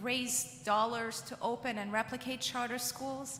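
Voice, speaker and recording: Noticeable noise fills the background. A woman talks with typical rises and falls in pitch. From Iran. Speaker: education advocacy leader. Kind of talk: keynote speech.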